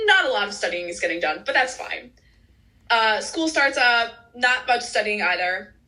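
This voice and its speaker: A woman with an American accent speaks at a moderate pace in a high pitch, with very wide pitch swings, a bright, sharp tone and audible room echo. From US Midwest, Chicago suburbs. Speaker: medical student. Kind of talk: interview. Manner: animated.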